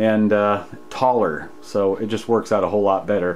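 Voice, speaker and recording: The speaker is a man. He keeps to a moderate pace. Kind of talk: casual tutorial walkthrough. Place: workshop. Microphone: phone near.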